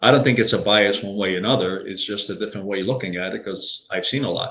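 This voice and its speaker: A man's fairly low-pitched voice, bright and sharp in tone, with fairly even intonation. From Hungary (Budapest), moved to US at about 12. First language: Hungarian. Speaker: author and leadership coach, former executive. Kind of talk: interview conversation. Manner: hesitant, many fillers.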